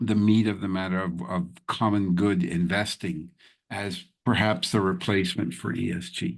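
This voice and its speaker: An unremarkable speaking voice with an American accent moves at a fairly slow pace. The background is quiet. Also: man. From New York. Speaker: podcast host. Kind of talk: interview.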